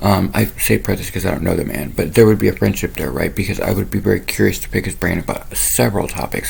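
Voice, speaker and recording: With noticeable noise in the background, a man's words come out very fast. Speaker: spiritual channel host. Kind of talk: monologue to camera. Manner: rambling, casual.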